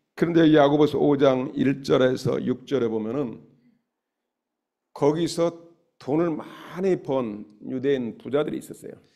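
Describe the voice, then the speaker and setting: Long, frequent pauses break up this man's fairly slow delivery. His pitch is fairly high, and his tone is dark and mellow. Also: ordinary pitch variation. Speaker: pastor. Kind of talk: sermon.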